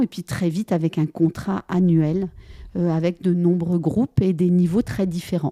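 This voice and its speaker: At a fairly slow pace, a dark, mellow tone is heard in a dry, close recording with no echo, very clean against a silent background. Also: woman. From France. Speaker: French-as-second-language teacher. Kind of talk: casual interview. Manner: halting, many hesitations.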